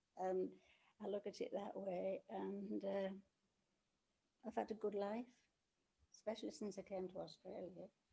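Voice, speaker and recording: At a moderate pace, this voice has a dark, mellow tone with vocal fry, fairly even intonation, and long, frequent pauses. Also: woman, medium pitch for a woman. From England. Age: 80s+. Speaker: interviewee, host's grandmother. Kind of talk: casual interview.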